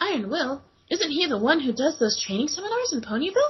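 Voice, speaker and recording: A woman talks very fast in a put-on character voice. Her pitch is high, with very wide swings. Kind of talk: comic fanfic reading. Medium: read story. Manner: sweet, old-sitcom wholesome.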